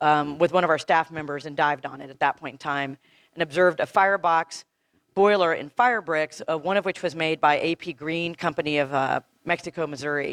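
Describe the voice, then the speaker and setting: Against a quiet background in a dry, close recording with no echo, a woman with an American accent talks at a fairly quick pace, her very deep, low voice showing ordinary pitch variation and big swings in loudness. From East Texas. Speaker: marine archaeologist. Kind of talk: lecture. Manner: fast.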